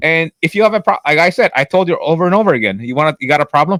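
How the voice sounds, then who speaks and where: A man talks loudly at a very fast pace in a high pitch, his voice making very wide pitch swings, with a dry, close sound and no echo. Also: very clean recording, silent background. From French Canadian. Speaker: podcast co-host. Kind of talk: casual chat. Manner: animated.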